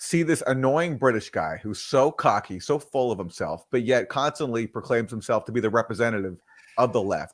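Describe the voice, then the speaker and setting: Lively intonation marks a man's unremarkable speaking voice, set at medium pitch and moderate pace. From Canada. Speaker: journalist, co-host. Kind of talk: casual political discussion. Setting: live stream.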